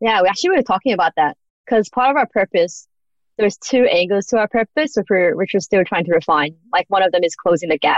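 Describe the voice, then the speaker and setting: A woman talks at a very fast pace with an Australian accent. Her intonation is lively. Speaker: business founder. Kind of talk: interview.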